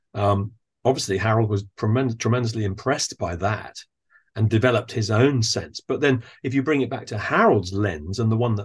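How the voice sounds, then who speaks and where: Against a quiet background, a man with a medium-pitched, somewhat breathy voice speaks at a moderate pace with ordinary pitch variation. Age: 60s. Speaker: theatre director and actor. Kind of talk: casual interview conversation.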